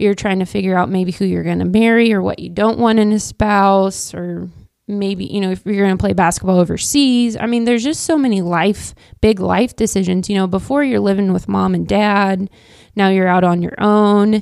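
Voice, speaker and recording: On a very clean recording with a silent background, a woman speaks in a Midwestern American accent. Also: medium pitch for a woman, ordinary pitch variation, moderate pace. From Kansas (Wichita). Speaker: real estate agent and coach's wife. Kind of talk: casual interview chat. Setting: podcast studio. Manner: talkative.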